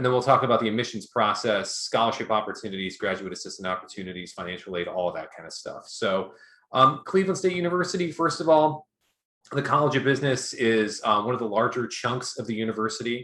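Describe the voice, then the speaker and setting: A man at a medium pitch talks at a very fast pace in a bright, sharp tone, with very wide pitch swings, on a very clean recording with a silent background. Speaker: university academic advisor. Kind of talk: information session presentation.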